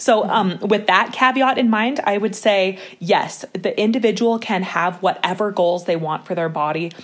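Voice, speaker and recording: Here a woman has a plain, everyday voice at a medium pitch. She talks at a moderate pace with ordinary pitch variation. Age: 30s. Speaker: nonprofit co-founder, body image advocate. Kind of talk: casual interview.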